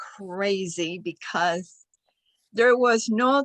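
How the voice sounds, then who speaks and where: Speaking very slowly in a Spanish accent, a woman has a bright, sharp tone at medium pitch with ordinary pitch variation, recorded dry and close with no echo. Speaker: club member. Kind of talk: meeting feedback. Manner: halting.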